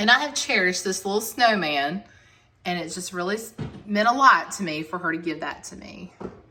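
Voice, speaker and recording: A woman speaks fairly quickly at medium pitch with lively intonation. Her loudness swings widely, and there is noticeable background noise. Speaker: home decor vlogger. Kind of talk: casual home tour narration.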